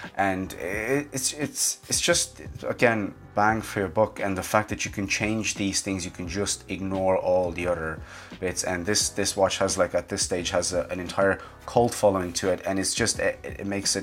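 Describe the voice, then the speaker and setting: A man speaks with a Romanian accent. His pitch is fairly low. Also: ordinary pitch variation, moderate pace. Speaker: watch reviewer. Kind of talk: casual product review. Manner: hesitant, many fillers.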